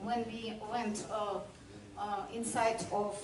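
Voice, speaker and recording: A woman with a non-native accent speaks very slowly in a fairly high voice. Audible room echo and noticeable background noise are present. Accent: non-native English, language barrier. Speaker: sailor. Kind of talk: presentation. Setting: club room with audience. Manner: halting.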